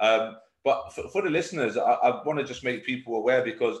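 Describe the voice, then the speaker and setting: A British accent at a moderate pace, ordinary pitch variation, and audible room echo. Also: man, quiet background. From UK. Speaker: podcast host and coach. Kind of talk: casual interview. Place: office. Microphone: video call.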